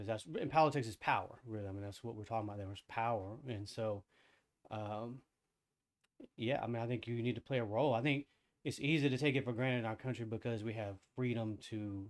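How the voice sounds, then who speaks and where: Soft-spoken and mumbling, a man talks at a fairly quick pace with medium pitch and fairly even intonation. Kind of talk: casual discussion.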